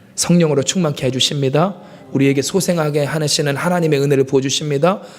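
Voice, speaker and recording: A man talks at a very fast pace. His pitch is fairly high, with fairly even intonation. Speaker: pastor. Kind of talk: sermon.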